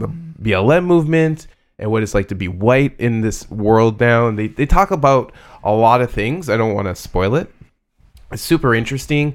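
With a Canadian accent and an unremarkable speaking voice, a man talks at medium pitch with lively intonation over a silent background in a very clean recording. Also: moderate pace. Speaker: podcast co-host. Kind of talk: casual chat.

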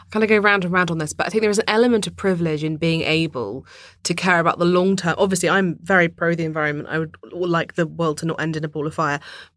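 A woman with a southern English accent, fairly low pitch, ordinary pitch variation, a very fast pace and hardly any pauses. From London, England. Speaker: journalist and author. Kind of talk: casual chat.

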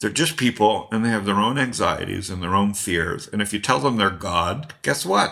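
Recorded very cleanly against a silent background, a man with a Canadian accent speaks in a bright, sharp tone. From Canada, Toronto. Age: 50s. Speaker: angel investor and entrepreneur. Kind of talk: interview conversation.

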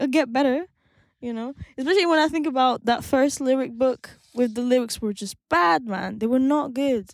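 A woman speaks in a high pitch with ordinary pitch variation. Her pace is moderate. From France. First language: French. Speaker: singer-songwriter and producer. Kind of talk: interview. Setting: studio.

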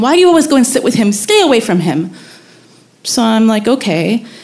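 A woman with an American accent talks at a fairly quick pace over music in the background. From US Mid-Atlantic, later Pakistan. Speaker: storyteller. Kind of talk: live storytelling. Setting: stage with audience.

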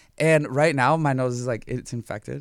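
An animated tone from a man with an American accent and ordinary pitch variation. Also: very clean recording, silent background. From Minnesota. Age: 30s. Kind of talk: casual chat.

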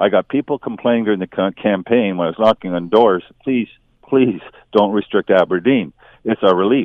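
A man's fairly low, plain, everyday voice with ordinary pitch variation at a moderate pace. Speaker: city councillor. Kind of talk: radio interview.

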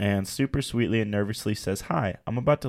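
This man has an ordinary speaking voice, fairly low in pitch, with ordinary pitch variation. The recording is very clean, with a silent background. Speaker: student, host's husband. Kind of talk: casual chat.

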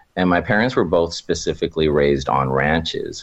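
In an American accent, a man speaks with a very deep, low pitch and ordinary pitch variation. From Oxnard, California. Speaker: storyteller guest. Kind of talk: casual interview, telling personal stories.

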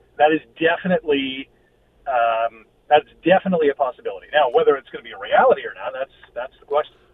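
The speaker talks at a very fast pace with lively intonation and big swings in loudness. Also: man, fairly high pitch for a man. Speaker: football commentator. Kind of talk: casual sports talk.

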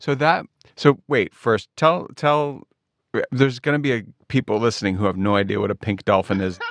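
At a moderate pace, a man with a medium pitch and lively intonation speaks in a plain, everyday voice, the sound dry and close with no echo. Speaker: podcast co-host. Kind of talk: casual chat.

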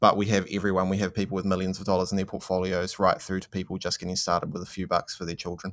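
A man talks at a very fast pace in a New Zealand accent, with hardly any pauses. His very deep, low voice stays monotone and flat. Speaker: investing platform co-founder. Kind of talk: interview. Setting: remote interview from managed isolation in Auckland.

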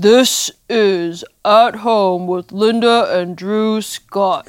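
Using a put-on character voice, a man speaks at a very slow pace. His pitch is high and his intonation fairly even. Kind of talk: announcer.

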